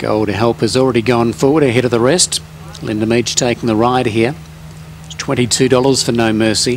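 With noticeable background noise, a man speaks at a medium pitch and a moderate pace with ordinary pitch variation. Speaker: race caller. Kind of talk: live commentary. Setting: racecourse.

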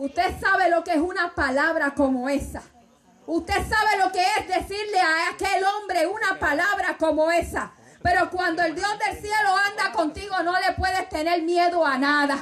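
A woman's extremely high-pitched, animated and passionate voice at a moderate pace, with ordinary pitch variation, very even loudness and light background noise. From Puerto Rico. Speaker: Pentecostal preacher. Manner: animated, passionate and exhortative, rising to a loud preaching cadence. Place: tent. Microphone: handheld.

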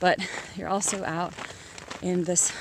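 A woman speaks at a fairly slow pace in a dry, echo-free sound, with noticeable background noise behind her. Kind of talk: casual vlog chat. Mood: reflective, grateful. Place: open country. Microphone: phone near.

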